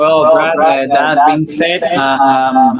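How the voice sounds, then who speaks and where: A man's fairly high voice in a Spanish accent, over noticeable background noise. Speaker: prospective trading student. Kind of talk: casual conversation on a video call. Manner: halting, many fillers.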